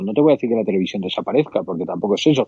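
A man with lively intonation. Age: 50s. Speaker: baseball podcast co-host. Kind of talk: casual chat.

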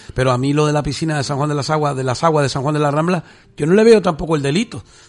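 A man's very fast speech at a fairly high pitch, with ordinary pitch variation. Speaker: radio host. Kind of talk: radio talk show. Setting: studio.

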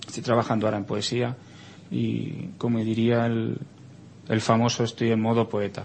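Speaking in a monotone with flat intonation, a man at medium pitch keeps a moderate pace and leaves long, frequent pauses. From Spain. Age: 40s. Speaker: writer. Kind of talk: interview. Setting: studio.

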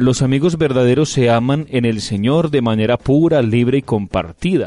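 A man speaks at a moderate pace and medium pitch, with lively intonation and a dark, mellow tone. The sound is dry and close, with no echo. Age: 30s. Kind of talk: radio reflection chat.

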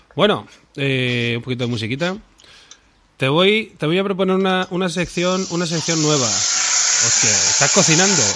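Noticeable background noise sits under a man speaking at a moderate pace with a high pitch. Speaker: podcast co-host. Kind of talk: casual chat; improvised sketch interview.

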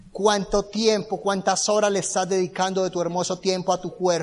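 A man speaks in an animated tone at a high pitch. His pace is moderate. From Colombia, Bucaramanga. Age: 20s. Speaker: motivational speaker. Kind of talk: motivational talk. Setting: stage with audience.

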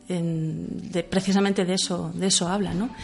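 A woman's fairly even intonation over music in the background. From Catalonia, Manresa. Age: 40s. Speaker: author. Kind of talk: radio interview. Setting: radio studio.

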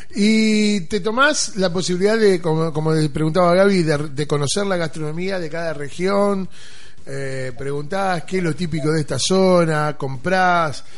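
Speech comes at a fairly slow pace with ordinary pitch variation. There is noticeable background noise and audible room echo. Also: man, high pitch for a man. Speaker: radio host. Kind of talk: radio show. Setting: radio studio.

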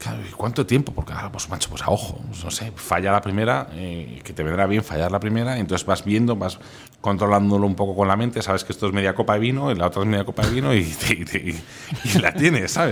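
A man's voice sits fairly low in pitch, moving with ordinary pitch variation as he rattles along very fast. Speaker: food instagrammer. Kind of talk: interview. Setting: restaurant. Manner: animated.

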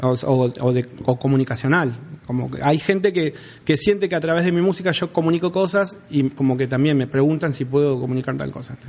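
A man with an Argentine accent speaks at a fairly quick pace. His pitch is fairly high, with ordinary variation. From Rawson, Argentina. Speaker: rapper. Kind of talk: casual chat. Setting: studio.

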